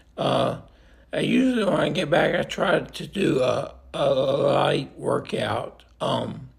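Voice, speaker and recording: Noticeable background noise is audible throughout. Over it, a man talks at a very slow pace. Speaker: vlogger living with a neurodegenerative illness. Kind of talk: personal video diary. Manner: halting, many fillers and repeats.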